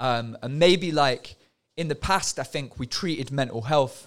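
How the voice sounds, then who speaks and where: A man with a plain, everyday voice at a moderate pace, with ordinary pitch variation in a very clean recording with a silent background. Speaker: former project manager at a youth music studio. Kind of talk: casual podcast chat.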